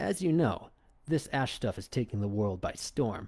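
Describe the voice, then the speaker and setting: A growling, low-pitched put-on character voice comes through a very clean recording with a silent background. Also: moderate pace. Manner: trying to sound tough.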